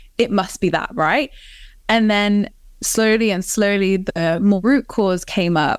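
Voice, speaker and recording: In a very clean recording with a silent background, a woman with an English accent speaks at a fairly slow pace. Her medium pitch shows ordinary pitch variation, and her loudness stays very even. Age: 30s. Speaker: life coach and author. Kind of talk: casual interview, personal story.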